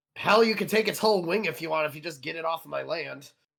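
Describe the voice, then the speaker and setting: Someone rattles off lines very fast in a raspy, put-on character voice. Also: man, high pitch for a man. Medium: actual play. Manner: blunt, gruff, joking.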